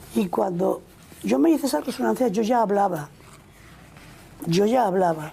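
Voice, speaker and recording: A woman's medium-pitched voice at a moderate pace, lively in intonation, over noticeable background noise. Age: 80s+. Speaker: nun. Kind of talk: interview answer.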